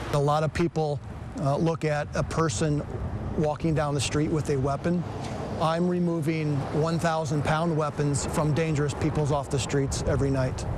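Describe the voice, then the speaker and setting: With noticeable background noise, a man talks at a moderate pace in a fairly high pitch, his loudness very even and his intonation fairly even. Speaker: police officer. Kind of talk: interview answer.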